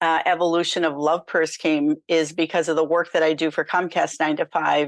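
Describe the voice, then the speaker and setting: Against a quiet background, a woman with a fairly low pitch talks at a moderate pace with monotone, flat intonation and very even loudness. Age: 60s. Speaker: nonprofit founder and author. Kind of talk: interview.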